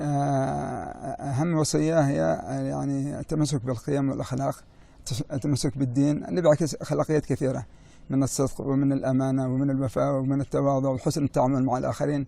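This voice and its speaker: A man speaks with a fairly high pitch and a dark, mellow tone. His intonation stays fairly even at a moderate pace. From Yemen. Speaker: business executive. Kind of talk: interview. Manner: halting with many fillers.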